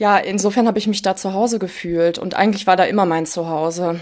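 A woman with an ordinary speaking voice, medium in pitch, fairly even in intonation, and fairly quick in pace. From Ruhr area, Germany. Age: 20s. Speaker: daughter of a parent with hereditary Alzheimer's. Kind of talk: personal interview. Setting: at home in living room, remote.

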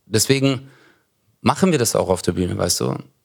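The recording of a man's voice is very clean, with a silent background. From Stuttgart, Germany. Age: 40s. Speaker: comedian. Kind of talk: casual chat.

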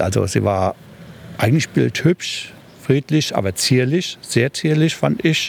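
A man speaks at a fairly slow pace with very wide pitch swings. Noticeable background noise runs underneath. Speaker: volunteer firefighter. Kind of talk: interview. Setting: outdoors.

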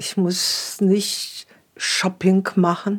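A very clean, silent-background recording of a woman's voice at medium pitch. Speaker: interviewee, widowed pensioner. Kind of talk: documentary interview.

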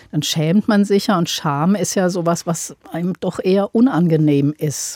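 A woman's fairly low voice, dark and mellow in tone, with ordinary pitch variation and a dry, close sound with no echo. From Upper Franconia, Bamberg; later Aschaffenburg. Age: 50s. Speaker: journalist and author. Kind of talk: panel discussion.

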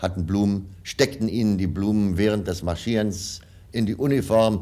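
His voice has a dark, mellow tone. The man's pitch sits fairly low, and his intonation is fairly even. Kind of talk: archival reminiscence, newsreel-style recollection.

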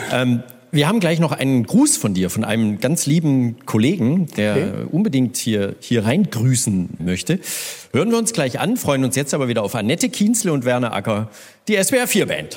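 Speaking at a moderate pace and medium pitch, a man keeps his loudness very even while his pitch swings very widely. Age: 50s. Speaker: radio host. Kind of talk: live stage interview. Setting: stage with audience.

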